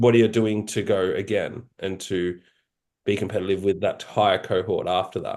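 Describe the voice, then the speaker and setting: A man with an Australian accent against a quiet background. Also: moderate pace. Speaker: podcast host, physique competitor. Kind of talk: podcast interview.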